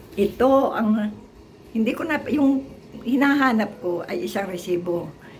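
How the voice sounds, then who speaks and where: Speaking fairly slowly, a woman uses a fairly high pitch and lively intonation. Room echo is audible, with noticeable background noise. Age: 70s. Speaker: retired teacher vlogger. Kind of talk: casual vlog talk. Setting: at home.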